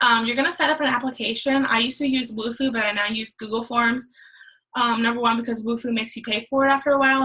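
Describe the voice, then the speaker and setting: A woman talks very fast in a fairly high, bright, sharp voice with fairly even intonation. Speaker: fitness coach and online business tutor. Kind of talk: tutorial.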